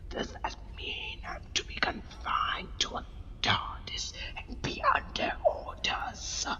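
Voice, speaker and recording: Whispering in a put-on character voice, a man speaks at a fairly slow pace over loud background noise. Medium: audio drama. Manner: haughty, cold.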